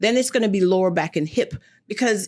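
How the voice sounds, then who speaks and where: Speaking very fast with a slight Jamaican accent, a woman has an animated tone and lively intonation. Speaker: foot and ankle doctor. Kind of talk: TV interview.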